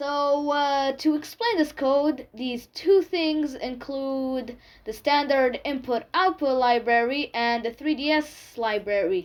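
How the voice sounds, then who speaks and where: A woman with a non-native accent, high-pitched, at a very slow pace with hardly any pauses and ordinary pitch variation. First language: not English. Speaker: tech tutorial youtuber. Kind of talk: tutorial. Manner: halting, with fillers.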